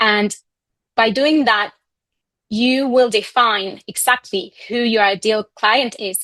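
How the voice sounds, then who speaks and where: A woman with a Spanish accent, fairly high in pitch and bright, sharp in tone, at a very slow pace with long, frequent pauses and ordinary pitch variation. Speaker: communications coach. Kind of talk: online masterclass presentation.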